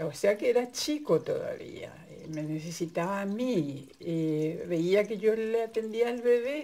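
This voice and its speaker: Very slowly, a woman speaks at a fairly high pitch with lively intonation and a dark, mellow tone. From Paraguay. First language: Guarani (speaking Spanish). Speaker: migrant sharing personal experience. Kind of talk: personal testimony. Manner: halting.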